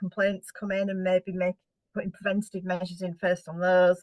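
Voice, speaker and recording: A woman with a British accent at a fairly quick pace, the sound dry and close with no echo. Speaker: housing association director. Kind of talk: conference keynote presentation. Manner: fast.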